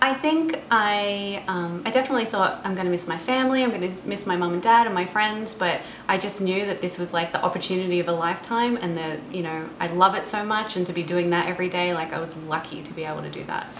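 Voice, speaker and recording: A woman talks at a very fast pace with hardly any pauses and ordinary pitch variation. Audible room echo and noticeable background noise sit behind her. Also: medium pitch for a woman. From Australia, Geelong/Melbourne area. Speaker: actress. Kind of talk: interview. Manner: hesitant, many fillers.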